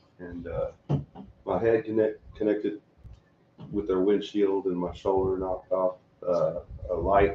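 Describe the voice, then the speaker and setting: In a Texas accent, a man talks at a fairly slow pace, with long, frequent pauses. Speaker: local pro wrestler. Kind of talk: casual chat. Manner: soft-spoken. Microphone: no microphones, camera picks up audio.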